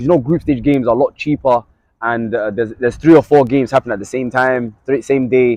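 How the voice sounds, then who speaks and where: Talking at a very fast pace in a London accent, a man keeps a medium pitch and fairly even intonation, in a dry, close sound with no echo. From London, England. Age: 20s. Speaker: sports journalist. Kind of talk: casual chat.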